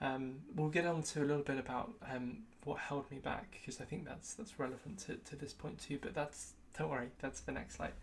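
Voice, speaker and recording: Her pitch is very deep and low, and she talks at a fairly quick pace. The woman has a British accent and ordinary pitch variation. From UK. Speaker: tech youtuber and consultant. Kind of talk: personal retrospective vlog. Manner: casual with frequent fillers.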